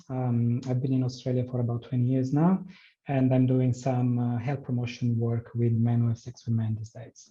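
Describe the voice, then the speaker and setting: Somewhat breathy and dark, mellow in tone, the voice moves at a moderate pace in monotone, flat intonation with an Italian accent. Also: man, medium pitch for a man. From Italy. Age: 40s. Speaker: health promotion worker and PrEP patient. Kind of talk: personal testimony in online forum.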